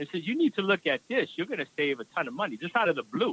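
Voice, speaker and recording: A man with an American accent has a bright, sharp tone. His pitch swings very widely, and the sound is dry and close with no echo. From New York, the Bronx. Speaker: radio co-host. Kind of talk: casual chat. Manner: halting.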